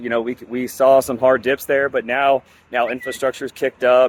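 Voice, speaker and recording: Noticeable background noise sits behind a man of medium pitch talking at a fairly quick pace, the sound dry and close with no echo. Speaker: crypto project growth lead, news presenter. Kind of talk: casual news update video. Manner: casual, many filler words.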